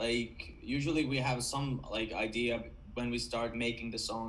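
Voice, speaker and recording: With a Finnish accent, a man speaks at a moderate pace in a medium pitch. His intonation is monotone and flat, and audible room echo surrounds him. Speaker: rock band vocalist. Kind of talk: interview. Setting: video call.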